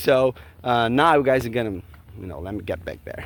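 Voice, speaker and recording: Speaking at a fairly quick pace, a man with a Brazilian Portuguese accent uses a medium pitch. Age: 40s. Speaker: vlogger. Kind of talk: casual vlog monologue.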